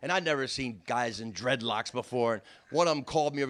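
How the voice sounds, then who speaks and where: The speaker has a South Jersey accent. The pace is very fast. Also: man. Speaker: comedian. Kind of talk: storytelling.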